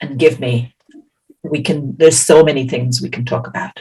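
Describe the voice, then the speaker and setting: This speaker has an Irish accent. The pitch varies an ordinary amount. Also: woman. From Ireland. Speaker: healer and science teacher. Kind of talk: interpreted presentation. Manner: slow.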